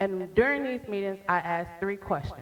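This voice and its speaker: Lively intonation runs through this woman's speech at a medium pitch. She has a plain, everyday voice. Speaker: startup founder pitching. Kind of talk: pitch presentation.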